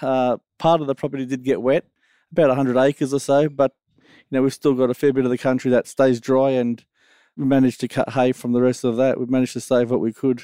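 A man with an Australian accent speaks very fast at a medium pitch in a dark, mellow tone, his intonation monotone and flat but with big swings in loudness, in a dry, close sound with no echo and a quiet background. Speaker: farmer. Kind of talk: casual interview.

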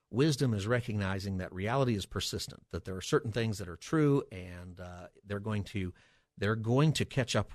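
A man is speaking here. His pitch is fairly low, and the background stays quiet. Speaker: pastor and radio host. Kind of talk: call-in radio talk show. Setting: radio studio. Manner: fast.

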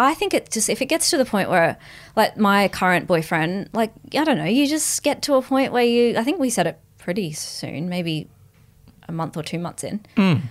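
On a very clean recording with a silent background, a woman with an Australian accent talks at a moderate pace in a medium pitch that swings very widely. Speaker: comedian and podcast co-host. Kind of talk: casual chat.

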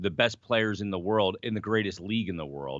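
In an American accent, a man with a plain, everyday voice speaks at a moderate pace and a fairly low pitch. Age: 40s. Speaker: sports radio co-host, hockey broadcaster. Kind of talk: casual sports talk show.

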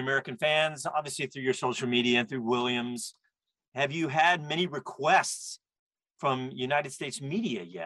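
A man's bright, sharp, fairly high voice at a fairly quick pace, dry and close with no echo. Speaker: radio host. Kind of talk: radio show host patter. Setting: studio. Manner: upbeat, energetic.

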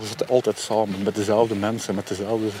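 A man speaks at a moderate pace with fairly low pitch. Background noise is noticeable. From Germany, Belgian military community (Flemish family). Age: 40s. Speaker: interviewee with a criminal past. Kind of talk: interview. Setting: outdoors on a snowy dog meadow.

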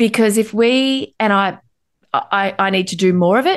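Against a quiet background, a woman speaks at a medium pitch in an Australian accent. Her intonation is lively. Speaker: anxiety educator and author. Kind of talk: interview.

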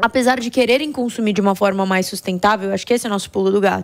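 On a very clean recording with a silent background, a woman speaks at a very fast pace with ordinary pitch variation. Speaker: company founder and CEO. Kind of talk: interview.

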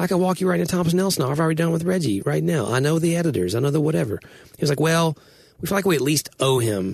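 Very fast male speech, fairly high in pitch and somewhat breathy, with very wide pitch swings. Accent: Southern US. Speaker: writer and podcast co-host. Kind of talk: casual chat.

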